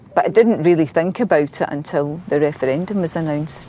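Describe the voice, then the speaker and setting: Over noticeable background noise, a woman with a Scottish accent speaks at a moderate pace in a very deep, low pitch with ordinary pitch variation. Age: 60s. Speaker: retired health worker interviewee. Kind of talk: interview. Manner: halting, repeats words.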